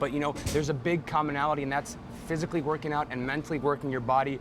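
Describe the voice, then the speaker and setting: The talking is very fast, with fairly even intonation, and noticeable background noise sits underneath. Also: man. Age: 20s. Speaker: personal trainer. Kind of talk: fitness show presentation.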